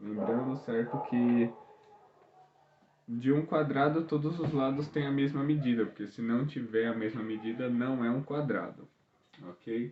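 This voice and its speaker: A soft-spoken man with ordinary pitch variation. He leaves long, frequent pauses. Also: medium pitch for a man, fairly slow pace. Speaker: school math teacher. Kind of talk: lesson video for students. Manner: casual.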